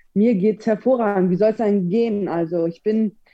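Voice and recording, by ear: A dark, mellow tone marks this woman's voice.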